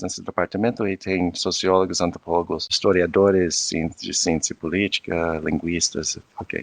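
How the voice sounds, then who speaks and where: In a dry, close sound with no echo, a man with a non-native accent speaks at a very deep, low pitch and fairly slow pace, his intonation fairly even. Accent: foreign accent in Portuguese. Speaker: anthropologist and professor. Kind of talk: interview conversation. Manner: halting, many fillers and restarts.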